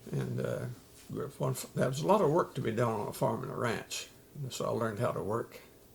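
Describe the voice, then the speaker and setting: A man with an American accent speaks at a very fast pace. Noticeable background noise runs behind him. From western Oklahoma. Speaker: army veteran. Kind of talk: oral history interview. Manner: halting, frequent uh fillers.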